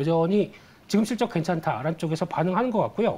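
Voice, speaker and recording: A man talks with ordinary pitch variation. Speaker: investment research firm head. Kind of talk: financial news interview. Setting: studio. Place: studio. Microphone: lapel.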